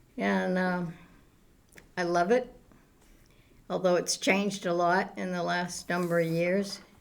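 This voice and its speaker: New England accent, fairly slow and fairly even in intonation, with long, frequent pauses. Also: woman. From Townsend, Massachusetts. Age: old. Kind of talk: interview answer.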